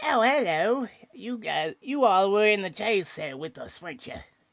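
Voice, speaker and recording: A man puts on a character voice, speaking at a moderate pace with a high pitch. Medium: actual play. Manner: sly, rambling.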